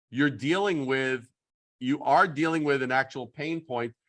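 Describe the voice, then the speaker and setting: A man speaks with an American accent. It is a normal speaking voice. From New York. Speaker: branding consultant. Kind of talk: workshop critique on a video call. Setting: video call.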